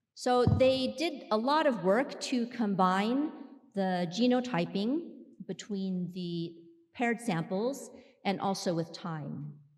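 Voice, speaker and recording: Audible room echo hangs around a woman's voice. Her speech is very slow. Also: medium pitch for a woman, lively intonation. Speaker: clinical researcher giving a conference talk. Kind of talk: scientific conference presentation. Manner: loud.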